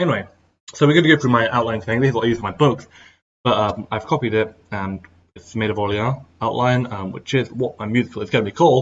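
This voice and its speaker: Very fast speech with ordinary pitch variation. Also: man, medium pitch for a man. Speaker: writer and tutorial vlogger. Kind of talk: tutorial. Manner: hesitant, many fillers.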